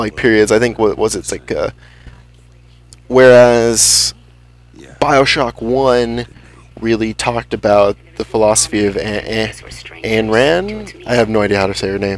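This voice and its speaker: Over noticeable background noise, a man of medium pitch talks at a fairly slow pace with fairly even intonation and long, frequent pauses. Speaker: let's play gamer. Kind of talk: gameplay commentary. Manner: halting, many repetitions.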